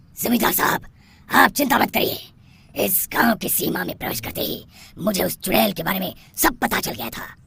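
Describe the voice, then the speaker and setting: A cartoonish character voice moves at a fairly quick pace with very wide pitch swings. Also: man, high pitch for a man. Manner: confident.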